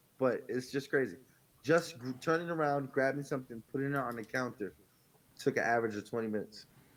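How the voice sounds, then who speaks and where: Very fast speech with a New York accent and ordinary pitch variation. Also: man, medium pitch for a man. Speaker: podcast co-host. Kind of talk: casual chat.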